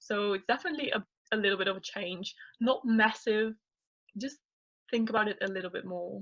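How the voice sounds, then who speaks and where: A woman with a non-native accent and a fairly high pitch speaks at a fairly quick pace with ordinary pitch variation and long, frequent pauses, in a dry, close sound with no echo. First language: not English. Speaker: YouTuber, guest. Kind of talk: casual interview chat.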